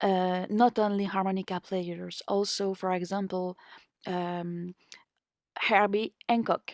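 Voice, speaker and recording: At a very slow pace, a woman with a French accent speaks at a medium pitch in monotone, flat intonation, in a dry, close sound with no echo and a very clean recording with a silent background. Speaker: harmonica player. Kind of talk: interview. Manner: halting.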